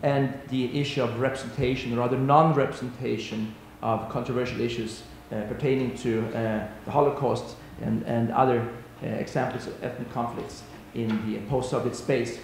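A man speaks at a moderate pace with a monotone, flat intonation, with audible room echo and light background noise. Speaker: panelist. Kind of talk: conference talk. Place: hall. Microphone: podium.

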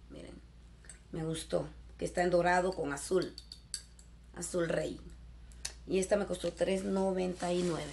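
A woman speaks at a very slow pace with long, frequent pauses and big swings in loudness over light background noise. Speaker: YouTuber; haul vlogger. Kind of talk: shopping haul video. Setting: in a store. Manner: animated. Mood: cheerful, enthusiastic. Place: home room. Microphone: webcam.

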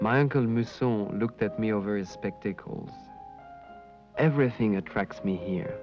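A man with a slight French accent speaks at a fairly low pitch, leaving long, frequent pauses. Music plays in the background. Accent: light French. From France. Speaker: narrator. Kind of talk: documentary narration reading letters in first person.

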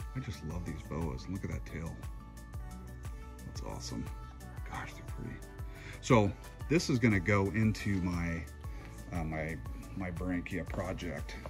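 With clear music in the background, a man talks at a fairly slow pace in a very deep, low pitch, leaving long, frequent pauses. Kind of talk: casual vlog chat. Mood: admiring, enthusiastic. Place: garden. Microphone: phone near.

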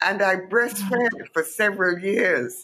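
A woman at medium pitch. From Jamaica. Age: 80s. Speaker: author and journalist. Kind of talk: casual chat.

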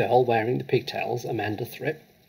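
The intonation stays fairly even as this person is reading aloud in a natural voice.

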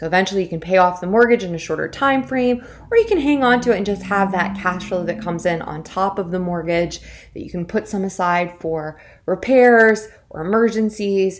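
Her pace is moderate. This woman's pitch moves up and down in an ordinary way. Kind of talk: tutorial. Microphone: webcam.

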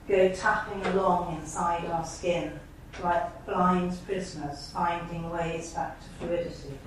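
A woman with a fairly low voice speaks at a fairly slow pace amid noticeable background noise. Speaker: poet. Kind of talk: poetry reading with brief spoken introductions to each poem. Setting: stage with audience at a college event. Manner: halting, hesitant in introductions, with frequent fillers.

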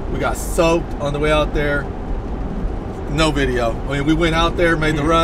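A man's voice, dry with no echo, over noticeable background noise. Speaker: fishing vlogger. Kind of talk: casual vlog chat. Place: car.

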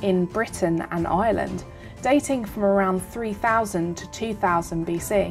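A woman speaks at a fairly slow pace. Music plays in the background. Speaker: tour narrator. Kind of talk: documentary narration.

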